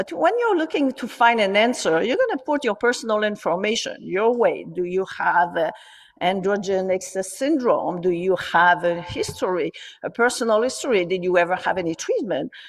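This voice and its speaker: A woman with a French accent at a moderate pace, her medium pitch carried by lively intonation. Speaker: gynecologist. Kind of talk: conference talk. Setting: online conference.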